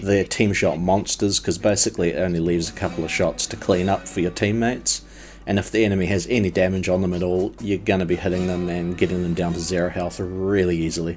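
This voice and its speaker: A man talks at a very fast clip with hardly any pauses, his pitch very deep and low. Music plays in the background. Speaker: gaming youtuber. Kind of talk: video game review. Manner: animated.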